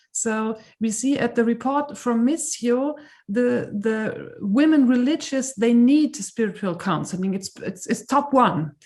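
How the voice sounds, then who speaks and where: A woman's high voice with a German accent, ordinary pitch variation and a fairly slow pace, on a very clean recording with a silent background. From Germany. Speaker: conference participant asking question. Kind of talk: audience question. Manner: halting.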